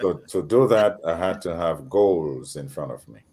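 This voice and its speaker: A man's very deep, low voice at a very slow pace, with a slight Grenadian accent. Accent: slight Grenadian Caribbean. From Grenada, Caribbean. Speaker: panel guest. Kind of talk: panel discussion.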